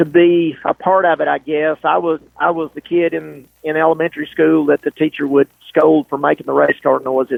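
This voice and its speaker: A moderate pace in a Southern US accent. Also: man. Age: 60s. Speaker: race car driver. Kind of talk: interview. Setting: podcast.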